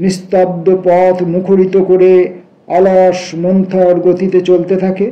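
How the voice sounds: The speaker uses a natural reading voice. Nothing else stands out beyond a natural reading voice.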